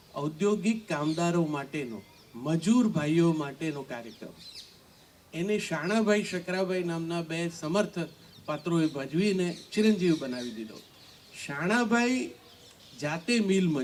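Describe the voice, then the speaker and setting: Over noticeable background noise, a man speaks with a high pitch and lively intonation. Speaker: poet and former radio announcer. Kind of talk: panel discussion.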